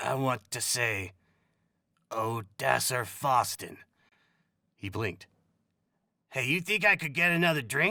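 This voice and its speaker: Using a raspy, put-on character voice at a medium pitch, a man speaks at a fairly slow pace with very wide pitch swings and long, frequent pauses, in a very clean recording with a silent background. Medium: read story. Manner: casual, talkative.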